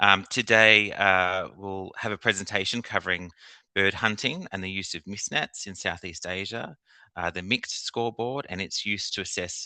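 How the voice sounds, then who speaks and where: Against a quiet background, a bright, sharp tone comes through with fairly even intonation and a dry, close sound with no echo. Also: man. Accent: Australian. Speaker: government official, task force chair. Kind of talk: formal meeting opening. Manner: hesitant with fillers.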